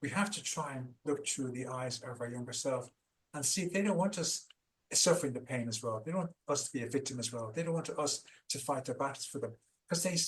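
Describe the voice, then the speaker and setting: With an Irish accent, the speaker goes at a fairly quick pace, somewhat breathy, with ordinary pitch variation. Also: man, fairly high pitch for a man. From Ireland. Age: 50s. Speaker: founder of a trauma recovery program. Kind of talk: interview. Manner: animated; halting.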